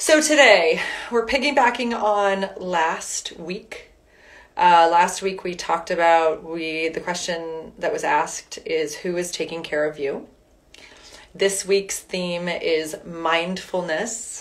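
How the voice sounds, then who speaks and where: A woman's calm, soothing voice, fairly low in pitch, with ordinary pitch variation and a very slow pace. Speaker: wellness and fitness instructor. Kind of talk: guided meditation, gentle spoken prompts to breathe and visualize an inner guide. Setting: live online session. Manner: slow, calm, soothing instructions with long pauses between prompts; warm, upbeat and chatty in the intro, with fillers. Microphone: phone near.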